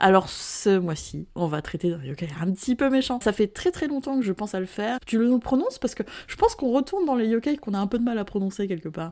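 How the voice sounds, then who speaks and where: Very fast and full of lively intonation, a woman's voice comes through with a dark, mellow tone. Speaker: podcast co-host. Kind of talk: casual chat. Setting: remote recording.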